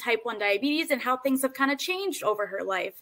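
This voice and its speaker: Someone speaks in a raised, projected voice at a very fast pace, with very wide pitch swings. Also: woman. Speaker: interviewer. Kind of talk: interview host.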